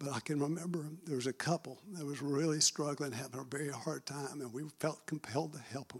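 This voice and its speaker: With a Southern US accent, a man speaks at a fairly quick pace. His pitch is fairly high and his intonation fairly even. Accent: Southern US (Georgia). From Marietta, Georgia, US South. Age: 60s. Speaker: church admin team member. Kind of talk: testimony.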